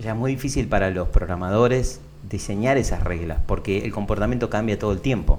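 A man with an ordinary speaking voice speaks at a fairly quick pace. His pitch is fairly low, with ordinary pitch variation. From Argentina, Buenos Aires (Lomas de Zamora). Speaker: tech entrepreneur. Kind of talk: interview.

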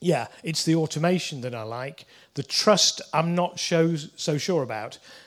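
The speaker, with a Yorkshire accent, talks at a moderate pace with ordinary pitch variation. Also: man. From northern England (Leeds). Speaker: lawyer. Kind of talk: conference talk. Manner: hesitant, many fillers.

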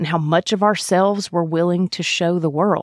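Someone with a Mississippi accent is heard in a very clean recording with a silent background, the sound dry and close with no echo. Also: woman. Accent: Southern US (Mississippi). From US South, Mississippi. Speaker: podcast host, physician. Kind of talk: monologue.

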